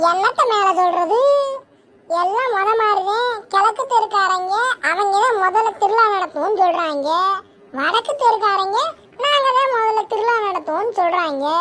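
A woman's cartoonish character voice, extremely high-pitched, with ordinary pitch variation. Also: moderate pace. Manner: chatty, rustic.

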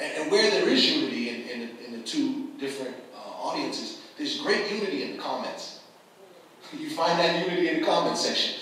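A man with an American accent speaks fairly quickly at a high pitch with very wide pitch swings, amid strong room echo and light background noise. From Boston. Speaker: community activist and media publisher. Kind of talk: panel talk. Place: hall.

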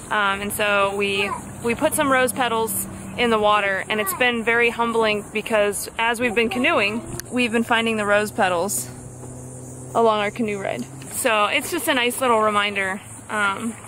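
Noticeable background noise accompanies a woman speaking at a moderate pace with ordinary pitch variation in a dry sound with no echo. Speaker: family vlogger. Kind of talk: casual vlog chat. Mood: somber, reflective. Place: boat. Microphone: phone near.

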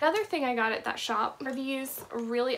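A woman's voice, high in pitch, with ordinary variation in pitch. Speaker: thrift reseller vlogger. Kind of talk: casual vlog chat. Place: home room. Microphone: phone near.

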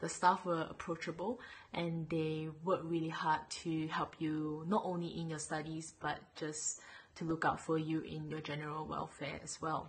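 This woman's voice is very deep and low, somewhat breathy, and monotone and flat in intonation, at a moderate pace. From Malaysia. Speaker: dental student. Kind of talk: testimonial. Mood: warm, cheerful. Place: home room. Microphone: webcam.

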